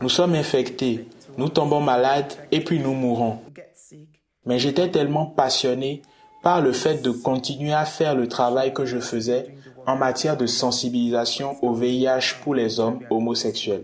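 Over noticeable background noise, a man at medium pitch talks at a fairly slow pace, with very even loudness and fairly even intonation. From Nigeria. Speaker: LGBT activist. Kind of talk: interview.

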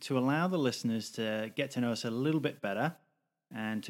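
Ordinary pitch variation on a very clean recording with a silent background. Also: man. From UK. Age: 30s. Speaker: podcast co-host. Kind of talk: casual chat.

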